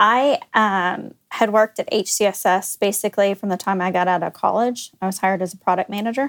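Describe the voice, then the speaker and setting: A woman with an American accent talks at a fairly quick pace in an unremarkable speaking voice. Her pitch is medium, with ordinary variation. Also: dry, close sound with no echo. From Texas, Dallas area. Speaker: company executive. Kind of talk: casual chat.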